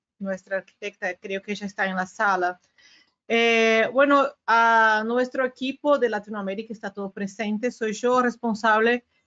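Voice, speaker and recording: A woman with a Brazilian accent speaks at a fairly slow pace in a fairly high voice, her intonation fairly even. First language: Portuguese (speaking Spanish). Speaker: regional sales director. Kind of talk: business webinar presentation. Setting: video call webinar. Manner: halting, many fillers. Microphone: video call.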